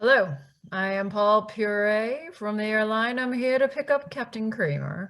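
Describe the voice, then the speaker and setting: This is a put-on character voice that sounds female, pitched fairly high. It moves along at a moderate pace. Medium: audio drama. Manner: polite, strained.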